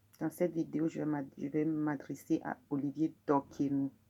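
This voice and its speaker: A woman with a dark, mellow tone talks at a very slow pace. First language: Mina (speaking French). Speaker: video blogger. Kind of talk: personal testimony. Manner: halting, frequent hesitations.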